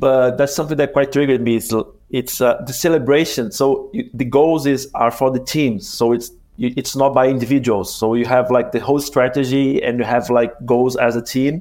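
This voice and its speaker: A man speaks at a moderate pace with a Portuguese accent, his medium pitch carried in fairly even intonation and hardly any pauses. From Brazil. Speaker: podcast co-host, marketer. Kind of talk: interview. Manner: halting, many fillers.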